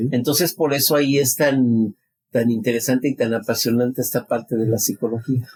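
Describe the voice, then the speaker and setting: Talking at a fairly quick pace, a man keeps a medium pitch and very even loudness. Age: 60s. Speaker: psychologist. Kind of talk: interview. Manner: halting.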